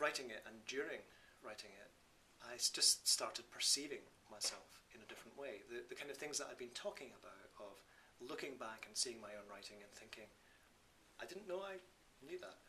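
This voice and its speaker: Speaking in a Scottish accent at a moderate pace, a man leaves long, frequent pauses while his loudness swings widely. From Scotland. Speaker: Buddhist teacher and author. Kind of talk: talk about his book to an audience.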